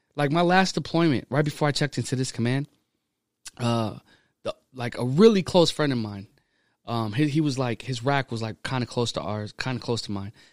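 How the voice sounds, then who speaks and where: With an American accent and a plain, everyday voice, a man at a medium pitch speaks at a fairly quick pace in a very clean, silent recording that is dry and close with no echo. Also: ordinary pitch variation. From small town Texas. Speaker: Navy sailor. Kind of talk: casual chat. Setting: studio.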